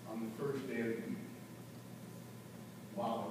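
A man's voice is heard through loud background noise. Audible room echo surrounds his speech. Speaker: bishop, preacher. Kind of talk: sermon. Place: church. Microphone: camera far.

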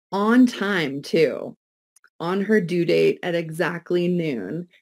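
A woman speaks at a very slow pace with a fairly low pitch. The background is quiet. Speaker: interview guest, life coach. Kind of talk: interview answer. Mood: warm, grateful, light laughs. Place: home room. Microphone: video call.

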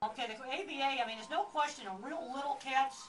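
Music plays in the background as a woman talks at a moderate pace. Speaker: speaker. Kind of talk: lecture. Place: shop. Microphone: camera far.

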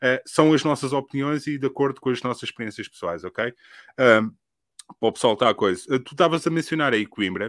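With a European Portuguese accent, a man talks at a medium pitch and a fairly quick pace, with a dry sound and no echo. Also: ordinary pitch variation, quiet background. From Portugal. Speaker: podcast host. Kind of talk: casual podcast interview chat. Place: home room. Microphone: studio mic.

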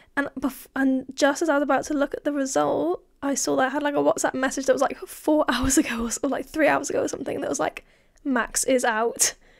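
The speaker talks at a very fast pace. The accent is English. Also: woman, high pitch for a woman, ordinary pitch variation. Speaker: podcast co-host. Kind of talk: casual chat.

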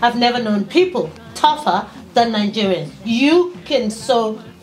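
Faint music plays behind a woman who speaks at a fairly slow pace. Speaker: vlogger. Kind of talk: casual vlog chat. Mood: earnest, pleading, warm. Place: home room.

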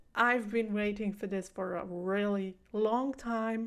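Over a quiet background, a woman speaks very slowly at a fairly high pitch. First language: not English. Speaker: reaction video host. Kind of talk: casual talk to camera. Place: home room. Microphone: studio mic.

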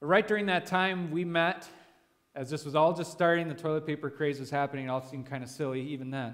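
A man with fairly even intonation, against a quiet background. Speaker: pastor leading a devotion. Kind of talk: sermon. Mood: relaxed, lightly humorous. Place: church. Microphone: headset.

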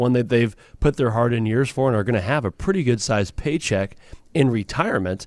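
With an ordinary speaking voice at medium pitch, a man talks at a fairly quick pace with lively intonation on a very clean recording with a silent background. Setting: studio.

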